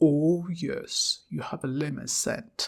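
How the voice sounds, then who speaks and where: A gruff, put-on character voice at a middle pitch moves along at a fairly slow pace. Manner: suggestive, flirtatious.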